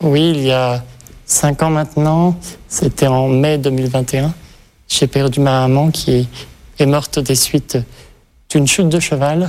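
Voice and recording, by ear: A man talks at a fairly slow pace in a medium pitch. His tone is slightly mellow. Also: fairly even intonation.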